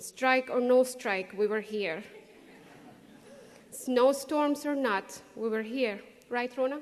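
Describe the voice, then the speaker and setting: A woman with a non-native accent speaks at a fairly slow pace in a high voice. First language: not English. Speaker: graduating student speaker. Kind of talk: graduation speech.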